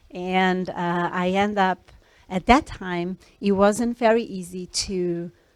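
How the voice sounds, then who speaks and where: A woman speaks at a medium pitch with a Brazilian accent and fairly even intonation. The recording is very clean, with a silent background. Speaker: scientist. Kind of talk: talk to students. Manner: hesitant, many fillers.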